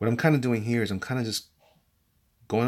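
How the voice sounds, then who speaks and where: Recorded very cleanly against a silent background, a man speaks with a New York accent. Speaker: artist / art tutorial youtuber. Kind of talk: drawing tutorial with live commentary. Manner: fast; casual, hesitant with repetitions.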